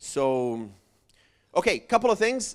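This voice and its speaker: A man talks with a Portuguese accent. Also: very clean recording, silent background. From Brazil. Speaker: church evangelism project presenter. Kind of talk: seminar presentation.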